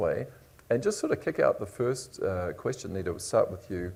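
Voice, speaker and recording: The speech moves at a fairly quick pace in a New Zealand accent. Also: man. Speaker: panel moderator. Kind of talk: panel discussion.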